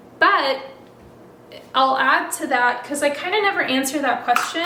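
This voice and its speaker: Delivered at a moderate pace, the speech comes through with noticeable background noise. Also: woman. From Albania, then Florida from age eight. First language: Albanian. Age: 20s. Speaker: software engineer YouTuber. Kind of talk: casual Q&A vlog while crafting. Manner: relaxed, chatty. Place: kitchen. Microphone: camera far.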